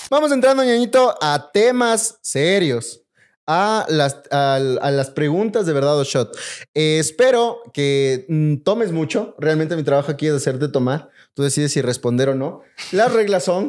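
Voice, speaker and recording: Against a quiet background, a man speaks at a fairly slow pace. His fairly high pitch swings very widely. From Ecuador. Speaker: podcast host. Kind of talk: casual chat. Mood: playful, joking. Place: home room. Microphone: studio mic.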